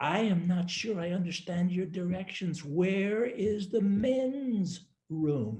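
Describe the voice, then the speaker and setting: A man speaks in a put-on character voice, high-pitched, with ordinary pitch variation, a fairly slow pace and hardly any pauses. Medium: read story.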